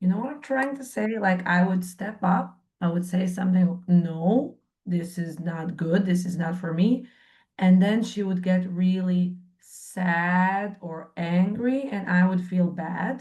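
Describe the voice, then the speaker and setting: The pace is fairly slow, with ordinary pitch variation. The voice is somewhat breathy, with a dark, mellow tone. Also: woman, medium pitch for a woman. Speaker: workshop participant. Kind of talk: group coaching session sharing.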